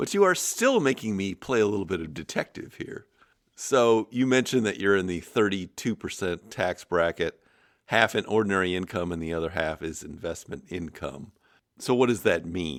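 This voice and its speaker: Here a man has a plain, everyday voice, fairly low in pitch with lively intonation at a moderate pace. The recording is very clean with a silent background. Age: 60s. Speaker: podcast host answering listener emails. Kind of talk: casual explanatory podcast talk.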